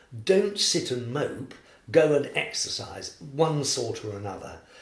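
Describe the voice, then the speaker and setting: With noticeable background noise around him, a man speaks at a fairly high pitch using lively intonation. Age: 80s. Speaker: former architect, cancer patient. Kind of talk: casual interview. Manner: animated, upbeat.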